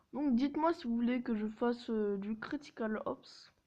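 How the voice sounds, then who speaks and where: Her fairly high-pitched voice has a dark, mellow tone as this woman speaks at a fairly slow pace. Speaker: mobile gaming YouTuber. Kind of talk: casual gameplay commentary. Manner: hesitant, many filler sounds.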